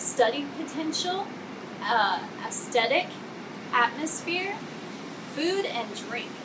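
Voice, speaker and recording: A woman talks at a fairly slow pace. Noticeable background noise runs behind her. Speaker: cafe reviewer. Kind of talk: casual vlog review. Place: garden. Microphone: camera far.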